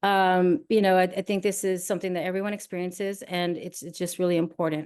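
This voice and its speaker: A woman's medium-pitched voice in a monotone, flat intonation, at a fairly quick pace with hardly any pauses, over a quiet background. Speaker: nonprofit consultancy executive. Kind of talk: workshop presentation. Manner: fast.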